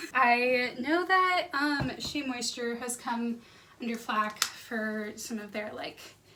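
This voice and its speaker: A woman speaks at a very slow pace in a high voice with ordinary pitch variation. Noticeable background noise runs underneath. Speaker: book vlogger. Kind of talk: casual vlog. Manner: quiet in the mornings; low energy in the morning.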